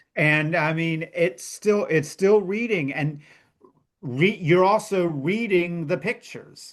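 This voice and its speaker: A man with an American accent speaks at a high pitch. He goes very slowly, with ordinary pitch variation. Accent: Virginia accent, slight, slips through. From Virginia. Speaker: children's book author. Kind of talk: casual interview chat. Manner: animated.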